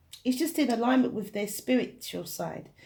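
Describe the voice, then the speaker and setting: Vocal fry colors a woman's dark, mellow tone as she speaks at a moderate pace with ordinary pitch variation. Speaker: tarot reader. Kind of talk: tarot reading. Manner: soft-spoken.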